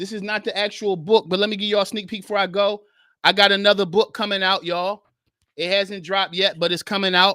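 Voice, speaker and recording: Recorded very cleanly with a silent background and a dry, close sound without echo, a man speaks very fast in a raised, projected voice, high-pitched with a bright, sharp tone and monotone, flat intonation. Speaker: podcast host and author; men's Bible study teacher. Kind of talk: live stream chat. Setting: live stream. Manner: fast, rushing.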